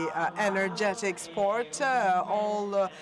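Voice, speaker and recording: A man speaks in a high pitch with fairly even intonation over noticeable background noise. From northern Italy, Pordenone. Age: 20s. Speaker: university student, patient advocate. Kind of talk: conference opening speech. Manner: halting, many fillers.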